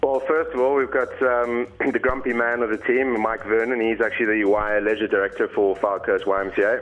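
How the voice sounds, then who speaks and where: With music playing in the background, a man with a South African accent speaks at a very even loudness and hardly pauses. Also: moderate pace. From Cape Town, South Africa. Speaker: radio show guest, charity bike rider. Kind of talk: casual, jokey.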